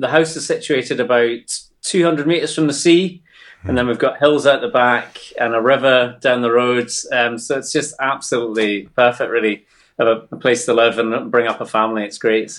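With a Scottish Borders accent, a man speaks at a moderate pace, his medium pitch rising and falling in an ordinary way. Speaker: paramedic and army veteran. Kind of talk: personal interview conversation. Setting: remote internet call. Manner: hesitant, with frequent ums.

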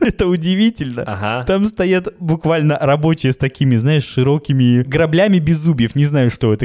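A man with a normal speaking voice talks at a moderate pace, his fairly high pitch rising and falling in a lively way. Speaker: podcast co-host. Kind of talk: casual chat.

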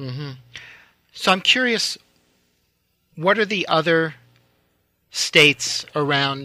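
A man with an American accent talks very slowly in a bright, sharp tone, his fairly high pitch rising and falling in lively intonation around long, frequent pauses. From US Northeast, Manhattan. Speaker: radio host. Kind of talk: interview.

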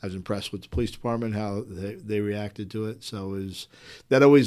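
An unremarkable speaking voice on a very clean recording with a silent background. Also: man. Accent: American. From New Jersey, raised partly in northern Virginia. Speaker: police chief. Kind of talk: interview. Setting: police station.

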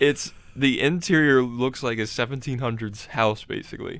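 Medium pitch in a plain, everyday voice from a man, moderate in pace and ordinary in pitch variation. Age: 20s. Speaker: Disney enthusiast. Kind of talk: casual chat.

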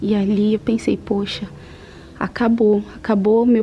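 Against noticeable background noise, a woman talks at a fairly slow pace with a fairly high pitch and a monotone, flat intonation. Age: 40s. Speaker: administrative assistant giving faith testimony. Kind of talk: testimony.

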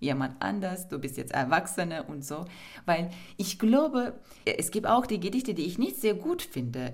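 A woman talks with a Turkish accent at a fairly slow pace. Her pitch is fairly low but swings very widely. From Turkey, Istanbul. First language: Turkish (speaking German). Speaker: poet. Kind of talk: interview.

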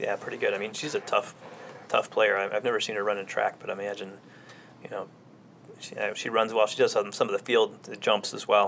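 A man speaks at a fairly quick pace with big swings in loudness. He takes long, frequent pauses. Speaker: podcast co-host, sports commentator.

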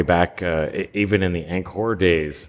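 A man is speaking. His pitch is very deep and low. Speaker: podcast co-host. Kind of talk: casual chat. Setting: remote call. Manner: casual, filler-heavy.

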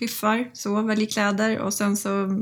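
A woman with a fairly high pitch and a somewhat breathy quality speaks at a moderate pace. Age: 30s. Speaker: recovering alcoholic, sobriety influencer. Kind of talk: interview testimony.

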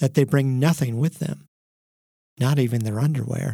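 This man's voice sits fairly high in pitch, with a dark, mellow tone and a somewhat breathy quality. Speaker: podcast host and narrator. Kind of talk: history documentary narration.

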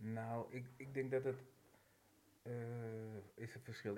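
Speaking at a fairly slow pace, a man with a medium pitch and fairly even intonation has an unremarkable speaking voice. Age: 50s. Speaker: firefighter. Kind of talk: casual chat.

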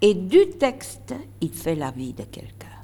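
A woman speaks with a fairly low pitch. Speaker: retired stage actress. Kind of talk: interview. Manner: animated.

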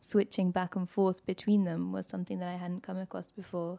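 Recorded very cleanly with a silent background and a dry, close sound with no echo, a woman speaks at a medium pitch with a dark, mellow tone. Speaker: literary translator. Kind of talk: interview.

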